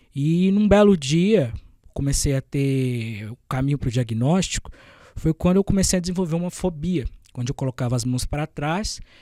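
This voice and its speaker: On a very clean recording with a silent background and a dry, close sound with no echo, a man with a fairly high pitch and a dark, mellow tone speaks with lively intonation. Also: moderate pace. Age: 20s. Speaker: journalist. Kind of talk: podcast interview. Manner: hesitant, with fillers and stumbles.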